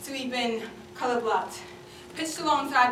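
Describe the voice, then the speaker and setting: A woman at a very fast pace with a high pitch and ordinary pitch variation, amid audible room echo and noticeable background noise. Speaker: slam poet. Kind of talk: spoken word performance.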